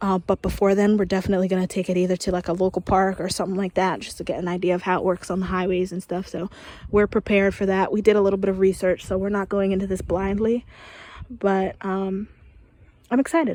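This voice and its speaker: Speaking quietly at a very fast pace, a woman uses a medium pitch, a dark, mellow tone and monotone, flat intonation. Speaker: vlogger giving an RV walkthrough. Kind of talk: casual walkthrough vlog. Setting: outdoors. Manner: quiet, low-volume talk; hesitant, many fillers.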